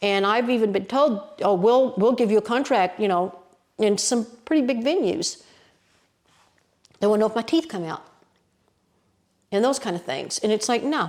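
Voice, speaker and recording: With an Appalachian accent, the speaker moves at a moderate pace with lively intonation and long, frequent pauses. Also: woman, fairly high pitch for a woman. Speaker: storyteller. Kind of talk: interview answer.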